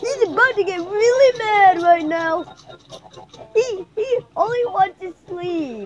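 A cartoonish character voice at an extremely high pitch moves along at a fairly slow pace. Long pauses come often. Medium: puppet show. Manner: excited, casual.

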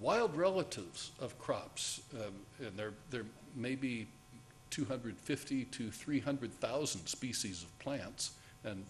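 A man, with faint music in the background. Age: old. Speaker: conservation scientist; conference speaker. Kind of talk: conference talk. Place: hall.

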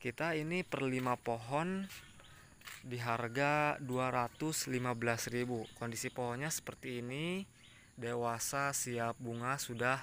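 At a very slow pace, a man speaks with a medium pitch and ordinary pitch variation. The sound is dry with no echo, and there is light background noise. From Indonesia. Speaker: orchid seller, YouTuber. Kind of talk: sales pitch, pitchman-style promo. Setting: video, showing plants on camera. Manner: upbeat, salesy, hyping product quality. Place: garden. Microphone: phone near.

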